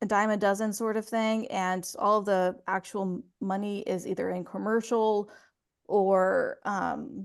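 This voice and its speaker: A woman's medium-pitched voice, flat and monotone, at a very slow pace against a quiet background. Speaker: voice actor. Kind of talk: interview answer.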